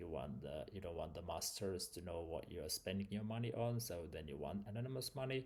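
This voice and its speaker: Somewhat breathy and fairly low, a man's voice carries a non-native accent and lively intonation. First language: not English. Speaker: vlogger. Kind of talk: casual explainer monologue. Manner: halting.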